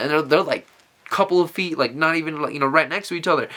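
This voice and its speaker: Very fast, animated talk from a fairly high-pitched man over noticeable background noise. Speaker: vlogger. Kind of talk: casual monologue.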